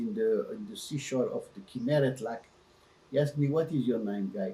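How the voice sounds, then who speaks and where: A man speaks in a somewhat breathy voice that has a dark, mellow tone. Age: 80s+. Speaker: interviewee sharing family history. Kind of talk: personal interview. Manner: halting.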